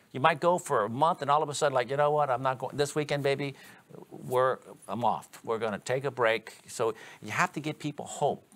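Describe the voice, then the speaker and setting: An animated man at a fairly quick pace, fairly high in pitch, with ordinary pitch variation. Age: 60s. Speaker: electrical exam trainer. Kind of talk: instructional video discussion. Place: studio.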